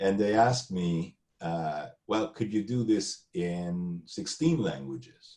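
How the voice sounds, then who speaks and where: A man with a Spanish accent speaks very slowly in a fairly low pitch, his dark, mellow tone moving through very wide pitch swings. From Argentina. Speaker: entrepreneur. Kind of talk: interview.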